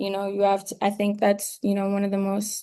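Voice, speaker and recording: A woman's medium-pitched voice with a dark, mellow tone over a quiet background. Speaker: film photographer. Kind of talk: online masterclass talk. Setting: video call. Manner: hesitant, many fillers (um, you know).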